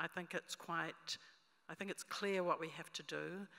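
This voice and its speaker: Against a quiet background, a woman with a New Zealand accent speaks at a moderate pace in a bright, sharp tone. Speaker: conference presenter. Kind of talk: conference presentation. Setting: conference stage with audience.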